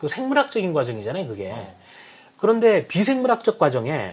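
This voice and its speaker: The man talks fairly quickly in a high voice, his pitch swinging very widely. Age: 40s. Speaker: company head and book lover. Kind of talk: casual interview chat.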